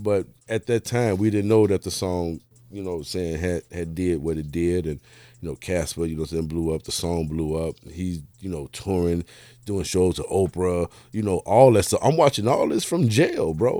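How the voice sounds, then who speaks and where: Over a very clean recording with a silent background, a man speaks at a moderate pace in a very deep, low pitch with ordinary pitch variation. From Chicago, South Side (Englewood). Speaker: record label owner. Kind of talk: casual interview.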